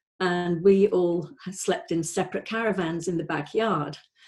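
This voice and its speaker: A woman with a Welsh accent talks at a fairly slow pace, her medium pitch rising and falling in an ordinary way. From North Wales. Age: 60s. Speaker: life coach. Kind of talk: testimony. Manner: halting, many fillers.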